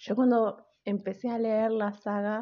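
A woman's fairly high voice at a very slow pace, flat and monotone. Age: 30s. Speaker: podcast host. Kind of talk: casual solo podcast monologue.

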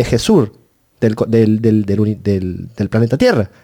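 A man speaks in a dark, mellow tone at a fairly slow pace. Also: dry, close sound with no echo. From Argentina. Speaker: student political group member. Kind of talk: interview.

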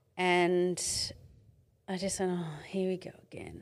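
A woman speaks in an Australian accent at medium pitch. The recording is very clean with a silent background. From Australia, Mid-North Coast of New South Wales. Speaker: domestic violence survivor and author. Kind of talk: testimony.

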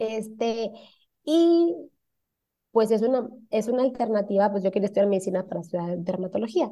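A woman speaks at a moderate pace with long, frequent pauses and lively intonation. Her voice is fairly high in pitch with a dark, mellow tone. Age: 30s. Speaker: cosmetologist. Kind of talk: casual interview.

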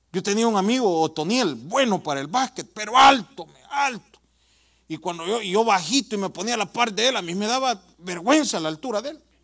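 Lively intonation runs through a man's high-pitched voice. He keeps to a moderate pace. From El Salvador. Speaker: pastor. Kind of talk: sermon.

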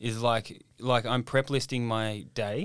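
The recording is very clean, with a silent background. A man speaks at a medium pitch in an Australian accent. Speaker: comedian and ex-chef podcast host. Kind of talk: casual chat. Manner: swearing, jokey, energetic.

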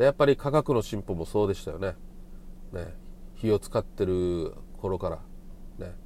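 A man's fairly low pitch with a dark, mellow tone, lively intonation, a moderate pace and long, frequent pauses. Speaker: podcast host. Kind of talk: solo monologue.

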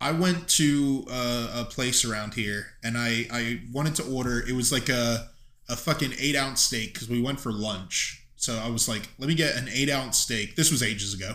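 A loud man at a medium pitch with a bright, sharp tone, ordinary pitch variation and a moderate pace. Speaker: podcast host. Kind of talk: casual chat. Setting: studio, one mic on table.

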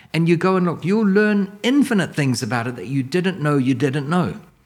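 In a very clean recording with a silent background, a man talks at a moderate pace. He has a New Zealand accent and lively intonation. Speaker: commercial real estate mentor. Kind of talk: educational interview chat.

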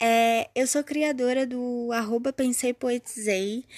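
A woman with a fairly high pitch speaks very slowly, her intonation fairly even. The sound is dry and close with no echo, on a very clean recording with a silent background. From Brazil, São Gonçalo (Rio de Janeiro metro area). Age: 20s. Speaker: poet and podcast host. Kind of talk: podcast introduction.

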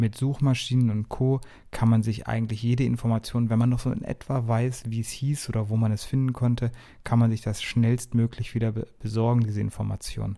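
On a very clean recording with a silent background, a man talks at a fairly quick pace with a dark, mellow tone, medium pitch, and monotone, flat intonation. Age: 30s. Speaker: podcast host. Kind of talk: casual solo podcast talk. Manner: casual with filler sounds.

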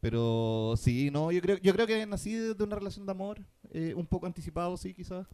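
A man's high voice with a dark, mellow tone. His pitch swings very widely at a moderate pace. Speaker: podcast co-host. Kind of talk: casual chat.

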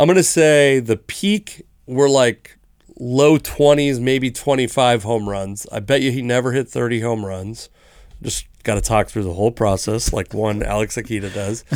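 Heard in a very clean recording with a silent background, a man in an ordinary speaking voice talks at a moderate pace and medium pitch with ordinary pitch variation. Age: 30s. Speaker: sports podcast co-host. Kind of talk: casual chat. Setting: studio.

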